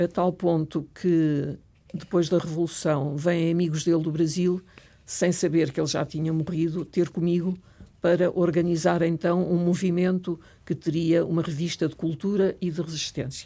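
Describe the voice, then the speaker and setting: In a very clean recording with a silent background, a woman speaks at a moderate pace in a fairly low pitch, her tone dark and mellow and her intonation monotone and flat. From Portugal, Lisbon. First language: French (speaking Portuguese). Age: 70s. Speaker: retired professor and writer. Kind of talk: interview.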